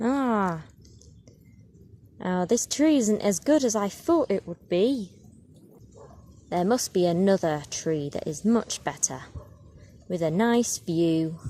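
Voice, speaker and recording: A put-on character voice that sounds female talks at a middle pitch and a fairly slow pace, with long, frequent pauses. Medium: read story.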